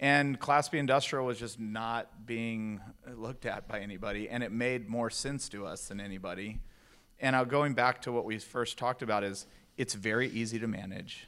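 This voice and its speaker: Using an ordinary speaking voice, a man with an American accent talks at a moderate pace and medium pitch with fairly even intonation. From Texas, El Paso. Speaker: real estate investor. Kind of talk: onstage interview.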